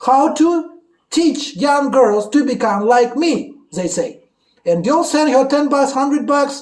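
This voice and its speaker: Audible room echo surrounds a voice with ordinary pitch variation, moving at a fairly slow pace with long, frequent pauses. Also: man, extremely high pitch for a man. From Russia. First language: Russian. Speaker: YouTuber. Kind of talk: casual chat. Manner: animated.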